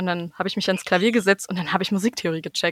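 A woman with a normal speaking voice, medium pitch, ordinary pitch variation and a fairly quick pace, in a very clean, silent-background recording that sounds dry and close with no echo. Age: 20s. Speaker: musician and music teacher. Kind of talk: interview.

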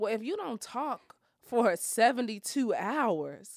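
Lively intonation from a woman on a very clean recording with a silent background. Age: 30s. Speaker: motivational speaker and fitness coach. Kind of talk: casual interview.

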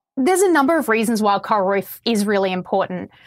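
An Australian accent shapes this woman's fairly high-pitched voice. Her pace is moderate. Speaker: coral restoration scientist. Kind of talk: interview about coral reef restoration. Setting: Florida, Summerlin Key.

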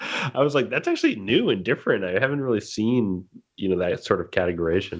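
Against a quiet background, this man rattles off his words very fast. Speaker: podcast host. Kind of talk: casual chat.

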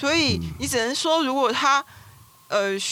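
A woman speaks at a moderate pace with lively intonation. Noticeable background noise is present. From Taiwan, Taipei. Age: middle-aged. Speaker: writer. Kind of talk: casual interview chat.

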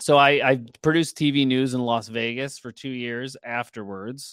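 A man speaks in a plain, everyday voice with an American accent. His pace is moderate and his intonation fairly even. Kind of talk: casual interview. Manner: filler-heavy, casual.

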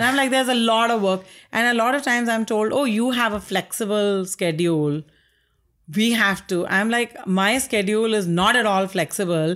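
A woman speaks with an Indian accent at a moderate pace. Her pitch varies in an ordinary way and her loudness stays very even. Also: fairly high pitch for a woman, very clean recording, silent background. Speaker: artist. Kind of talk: casual interview. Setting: artist's studio.

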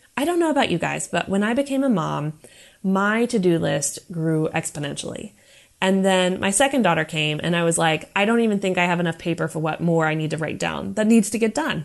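Over a quiet background, a woman with an American accent talks at a fairly quick pace in an ordinary speaking voice, her fairly low pitch carried by lively intonation. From USA. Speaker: counselor. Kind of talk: prepared monologue.

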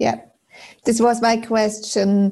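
Speaking with a German accent, a woman has a fairly high-pitched voice. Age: 40s. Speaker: aspiring personal style coach. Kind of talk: coaching call.

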